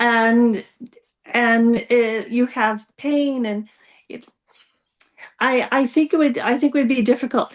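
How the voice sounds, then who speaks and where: Speaking at a very slow pace with long, frequent pauses, a woman uses a high pitch and fairly even intonation. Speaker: panel guest. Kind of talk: casual discussion. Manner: halting, many fillers and restarts.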